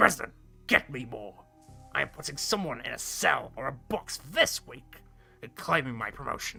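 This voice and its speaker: A man uses a raspy, put-on character voice at a medium pitch with lively intonation. He keeps a moderate pace over faint music in the background. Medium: game stream. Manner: brusque, contemptuous.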